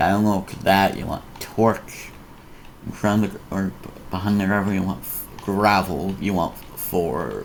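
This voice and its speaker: Through noticeable background noise comes a man's fairly low voice with fairly even intonation. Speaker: Minecraft tutorial youtuber. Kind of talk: tutorial. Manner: halting.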